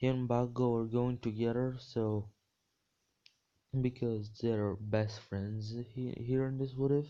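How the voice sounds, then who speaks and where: A man with a non-native accent speaks at a medium pitch in a dark, mellow tone. His delivery is fairly slow and monotone, with long, frequent pauses. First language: not English. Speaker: fan fiction storyteller. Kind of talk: improvised storytelling. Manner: halting, many fillers and restarts.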